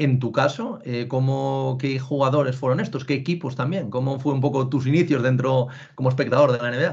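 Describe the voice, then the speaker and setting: A man's somewhat breathy, medium-pitched voice at a moderate pace, with fairly even intonation. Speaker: podcast host. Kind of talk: interview. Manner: halting.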